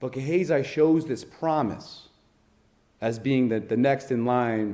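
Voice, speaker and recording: In a Rhode Island accent, a man talks at a medium pitch and a fairly slow pace, his dark, mellow tone carrying audible room echo. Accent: Northern Rhode Island. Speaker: lay preacher. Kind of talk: sermon.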